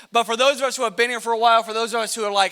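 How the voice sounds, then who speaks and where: The voice is raised and projected, with an energetic tone. It carries an American accent. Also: man. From US Midwest. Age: 20s. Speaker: youth pastor. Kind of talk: youth ministry talk. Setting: stage with audience. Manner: casual, energetic.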